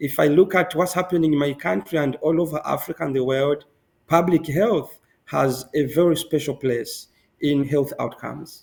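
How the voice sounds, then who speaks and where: A man speaks in a Zambian accent. His pitch is fairly high. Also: ordinary pitch variation, moderate pace. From Zambia, Northwestern Province (Solwezi). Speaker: medical doctor and public health student. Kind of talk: interview. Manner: halting.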